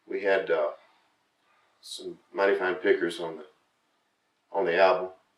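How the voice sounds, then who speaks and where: A man with a Southern US accent, with long, frequent pauses. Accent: southern drawl. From Florida. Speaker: country singer-songwriter. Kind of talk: casual interview.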